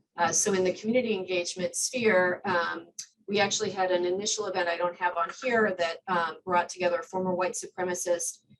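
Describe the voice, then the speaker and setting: This woman has a medium pitch and talks at a fairly quick pace. Her loudness is very even and her intonation fairly even. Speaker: community organization leader. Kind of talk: presentation. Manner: fast.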